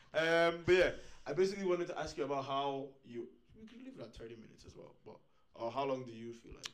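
A man talks at a very fast pace in a fairly high pitch, his intonation lively and his loudness swinging widely. Room echo is audible. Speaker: podcast host. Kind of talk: casual chat.

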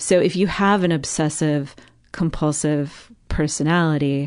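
A woman speaks in a fairly low pitch with fairly even intonation against a quiet background. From US West Coast, Los Angeles area. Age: 30s. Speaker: breast cancer survivor guest. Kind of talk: casual interview chat.

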